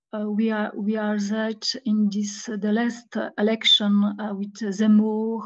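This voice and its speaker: A woman speaks very slowly in a fairly high, somewhat breathy voice. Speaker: historian, guest lecturer. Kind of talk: Q&A discussion after lecture. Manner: halting, many hesitations.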